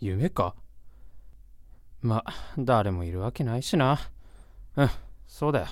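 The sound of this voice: Putting on a character voice, a woman speaks slowly at an extremely low pitch, with a slightly mellow tone and lively intonation.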